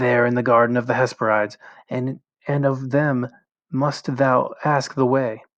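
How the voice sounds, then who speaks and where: A whiny put-on character voice from a man at medium pitch, moderate pace, over a quiet background. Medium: read story. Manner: piteous, whining.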